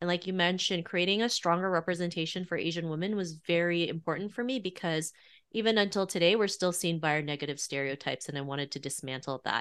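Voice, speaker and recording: A woman talks at a very fast pace with hardly any pauses. Her pitch is fairly low with ordinary variation, and the background is quiet. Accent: Canadian. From Canada, Toronto. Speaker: author and podcast host. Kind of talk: interview.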